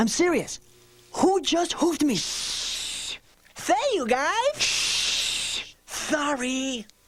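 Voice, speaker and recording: A cartoonish character voice sits high in pitch. It moves at a very slow pace. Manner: wisecracking.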